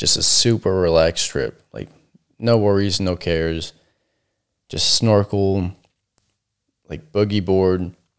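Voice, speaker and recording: In an American accent, the speaker goes at a very slow pace with long, frequent pauses and fairly even intonation. The recording is very clean, the background silent. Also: man, fairly low pitch for a man. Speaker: co-host of true crime podcast. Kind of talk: casual banter between co-hosts.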